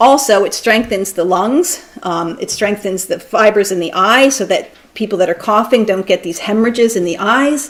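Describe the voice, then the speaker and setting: A woman speaks with a fairly high pitch. She hardly pauses, and there is noticeable background noise. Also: ordinary pitch variation. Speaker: physician and lecturer. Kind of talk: lecture. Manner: fast.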